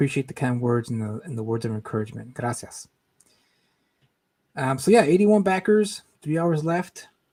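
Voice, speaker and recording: A quiet, somewhat breathy man's voice, fairly high in pitch with very wide pitch swings and a dark, mellow tone, at a moderate pace with long, frequent pauses. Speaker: comic book creator and streamer. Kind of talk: live stream chat. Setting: at home, live stream. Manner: speaking quietly.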